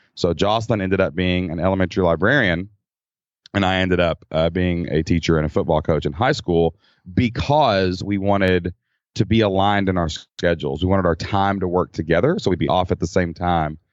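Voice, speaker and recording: With a Kentucky accent, a man talks at a fairly quick pace in a very deep, low pitch with ordinary pitch variation. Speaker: former teacher turned online entrepreneur. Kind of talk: casual interview chat.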